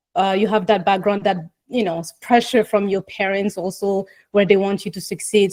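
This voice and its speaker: The tone is dark and mellow, with fairly even intonation. The pace is moderate and the sound is dry and close, with no echo. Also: woman. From West Africa. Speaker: executive coach. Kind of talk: interview.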